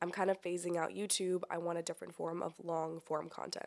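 At a moderate pace, a woman uses a plain, everyday voice with a fairly low pitch. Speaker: podcast host. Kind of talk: casual chat. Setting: in-person recording.

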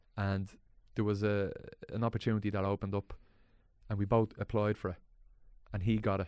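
Using a fairly low pitch, a man with a Dublin accent talks at a moderate pace. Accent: Dublin Irish. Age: 30s. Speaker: actor and comedian. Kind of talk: casual chat.

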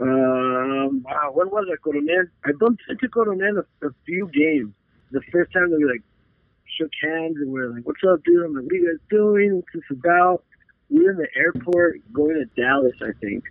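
Lively in intonation and swinging widely in loudness, a man with an American accent and an unremarkable speaking voice talks at a moderate pace and a fairly high pitch. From Arizona, US-Mexico border (Nogales). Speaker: real estate agent and football superfan. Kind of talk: casual chat.

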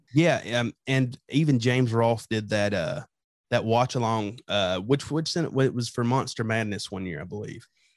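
In an unremarkable speaking voice, a man talks at a moderate pace and medium pitch with ordinary pitch variation. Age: young. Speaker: horror podcast host. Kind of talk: casual interview chat.

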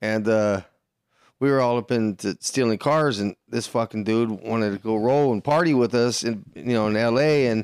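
A man with an American accent speaks in a plain, everyday voice at a medium pitch, his intonation fairly even. The sound is dry and close with no echo, a very clean recording over a silent background. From Los Angeles. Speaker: podcast co-host. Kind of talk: casual chat. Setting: garage.

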